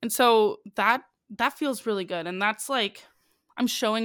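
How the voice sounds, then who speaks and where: A plain, everyday voice from a woman at a moderate pace, lively in intonation, in a very clean recording with a silent background and a dry, close sound with no echo. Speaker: musical theatre performer and musician. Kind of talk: casual chat.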